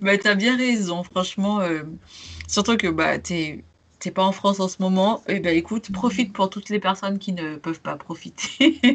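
A woman speaks at a moderate pace and medium pitch. Her voice is somewhat breathy, with ordinary pitch variation. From Martinique. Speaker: podcast host, travel blogger. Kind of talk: casual interview chat.

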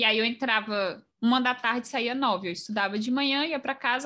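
At a fairly quick pace, a woman speaks in a fairly high, bright, sharp voice with ordinary pitch variation against a quiet background. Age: 20s. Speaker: mobile software engineer. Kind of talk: casual interview.

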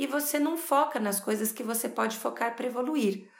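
Very wide pitch swings run through this voice, heard with noticeable background noise and audible room echo. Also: woman. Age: 40s. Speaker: psychologist. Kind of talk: podcast monologue. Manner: animated.

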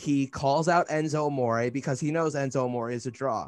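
A man speaks. His tone is animated. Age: 20s. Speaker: wrestling podcast host. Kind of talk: casual chat.

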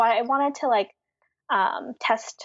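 This is an ordinary speaking voice. The pitch variation is ordinary. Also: woman. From Philadelphia, US. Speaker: graphic designer and letterer. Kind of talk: interview.

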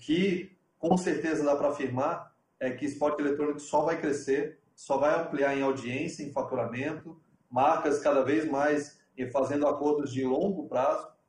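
At a moderate pace, the voice sounds somewhat breathy, with fairly even intonation. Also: man, fairly high pitch for a man. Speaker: TV sports executive. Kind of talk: online panel discussion. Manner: halting.

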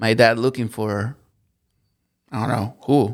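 A man with a Spanish accent speaks with fairly even intonation. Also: very clean recording, silent background. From Colombia. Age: 30s. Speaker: worship leader. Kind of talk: interview, personal testimony.

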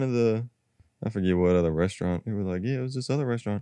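Talking at a very fast pace, a man with an American accent has a fairly low pitch, a dark, mellow tone and ordinary pitch variation. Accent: slightly country. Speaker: podcast co-host.

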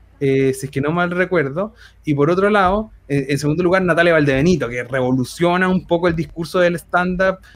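With a Chilean accent, a man speaks at a fairly quick pace and with ordinary pitch variation. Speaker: humor researcher and author. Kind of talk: casual chat.

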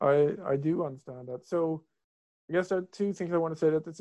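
A man speaks with a Swedish accent, his fairly high voice carrying a dark, mellow tone and ordinary pitch variation over a quiet background. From Sweden, Stockholm. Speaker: philosophy researcher. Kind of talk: interview. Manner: halting, many repetitions and fillers.

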